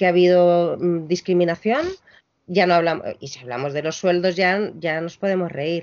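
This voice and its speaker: The voice is a woman's. It sits at a medium pitch. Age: 50s. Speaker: music venue programmer and lecturer. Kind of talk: interview. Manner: halting, with many repetitions.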